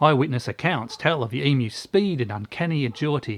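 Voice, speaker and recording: On a very clean recording with a silent background and a dry, close sound with no echo, a man with an Australian accent speaks at a moderate pace and medium pitch with very wide pitch swings. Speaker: host. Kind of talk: comedic history narration to camera.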